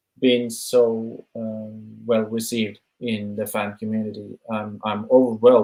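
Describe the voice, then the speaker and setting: In a Norwegian accent, a man talks at a fairly slow pace, his tone dark and mellow and his intonation monotone and flat. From Norway. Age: 30s. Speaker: musician. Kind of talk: interview. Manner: halting.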